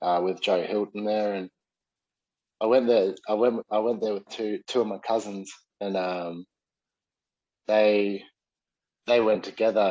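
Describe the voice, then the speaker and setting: With a slight New Zealand accent, the voice has a dark, mellow tone and flat monotone delivery, in a dry, close sound with no echo. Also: man. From New Zealand, South Auckland. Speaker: Muay Thai and MMA coach, former fighter. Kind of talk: casual interview chat. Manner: halting, many fillers.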